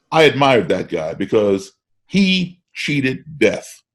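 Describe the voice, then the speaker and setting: With an American accent and vocal fry, a medium-pitched man speaks at a fairly slow pace while his pitch swings very widely. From grew up partly in Africa and Europe, US-based. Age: 60s. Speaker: musician. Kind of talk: casual chat. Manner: repeats words when starting sentences.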